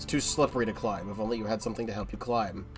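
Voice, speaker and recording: Music in the background behind a man at medium pitch, ordinary pitch variation and a fairly quick pace. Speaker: gaming streamer. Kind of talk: let's play commentary. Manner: casual.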